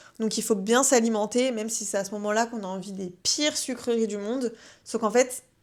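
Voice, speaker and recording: In a very clean recording with a silent background, a woman speaks with a fairly high pitch and fairly even intonation. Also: fairly quick pace. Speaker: wellness podcast host. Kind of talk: casual advice podcast. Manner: hesitant, many fillers.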